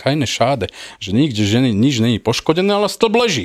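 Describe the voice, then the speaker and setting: The recording is very clean, with a silent background and a dry, close sound with no echo. A man talks at a very fast pace. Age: 40s. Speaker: airline pilot. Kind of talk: casual chat.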